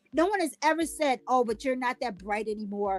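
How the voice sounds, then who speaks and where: Over music in the background, a woman with a high pitch talks at a moderate pace in an animated tone, the sound dry and close with no echo. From Louisiana. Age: 50s. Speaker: podcast host. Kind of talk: casual chat. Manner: stutters at times.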